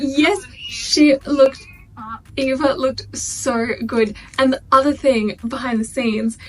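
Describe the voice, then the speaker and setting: A woman speaks with a high pitch. Noticeable background noise can be heard. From Australia. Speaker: YouTuber. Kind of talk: casual reaction video chat. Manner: fast; animated.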